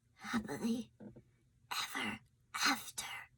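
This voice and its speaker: In a put-on character voice, a woman whispers. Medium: read story. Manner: whispering.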